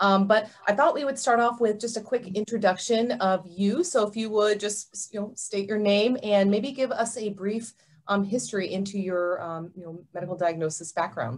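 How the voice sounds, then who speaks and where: A woman talks at medium pitch with ordinary pitch variation and hardly any pauses. Her loudness swings widely, in an unremarkable speaking voice. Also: moderate pace. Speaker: doctor. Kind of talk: interviewer questions.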